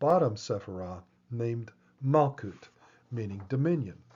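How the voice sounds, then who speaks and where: A man speaks at a moderate pace with ordinary pitch variation and a somewhat breathy sound. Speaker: lecturer on esoteric symbolism. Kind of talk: lecture. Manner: measured, explanatory.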